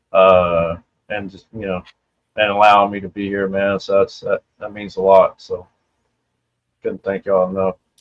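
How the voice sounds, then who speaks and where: In an American accent, the speaker moves at a moderate pace with monotone, flat intonation, long, frequent pauses and big swings in loudness. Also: man, fairly low pitch for a man. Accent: Louisiana-like Southern US. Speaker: live stream guest, toy collector. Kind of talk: casual chat.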